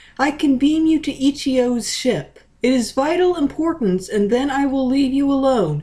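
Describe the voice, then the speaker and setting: At a moderate pace, someone speaks in a put-on character voice. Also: woman, high pitch for a woman. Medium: read story. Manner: intelligent.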